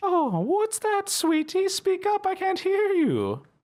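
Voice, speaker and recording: This put-on character voice is squeaky and extremely high in pitch. It moves at a fairly slow pace. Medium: actual play. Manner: sweet, doting, coy.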